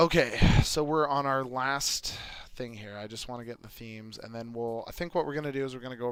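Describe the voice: This recording is plain reading aloud.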